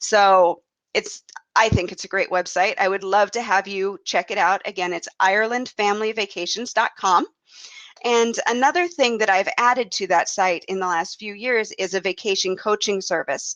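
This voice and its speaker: The sound is dry and close with no echo. A woman with an American accent speaks at a moderate pace with ordinary pitch variation. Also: medium pitch for a woman. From US Midwest. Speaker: travel blogger and podcast host. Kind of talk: podcast introduction monologue. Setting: live web broadcast. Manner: casual with frequent fillers.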